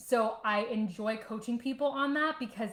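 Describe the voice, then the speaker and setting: With a fairly high pitch, ordinary pitch variation and a somewhat breathy, animated tone, a woman speaks. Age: 30s. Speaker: online fitness coach and vlogger. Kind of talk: casual livestream talk. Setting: home livestream.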